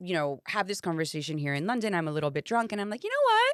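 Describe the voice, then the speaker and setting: In a Spanish accent, a woman at a medium pitch speaks in an animated tone, the sound dry and close with no echo. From Miami, US. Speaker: actress and singer. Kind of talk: casual chat.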